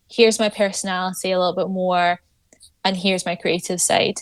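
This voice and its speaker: Speaking with a Scottish accent, a woman comes through on a very clean recording with a silent background. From Scotland, Troon. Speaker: golf influencer. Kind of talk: podcast interview.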